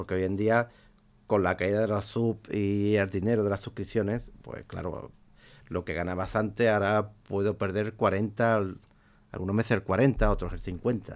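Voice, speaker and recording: A man's fairly low-pitched voice, monotone and flat, at a fairly slow pace. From Huelva, Andalusia, Spain; Andalusia, Spain. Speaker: Twitch streamer. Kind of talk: radio interview; interview answer. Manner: halting, repeats words. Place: studio. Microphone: studio mic.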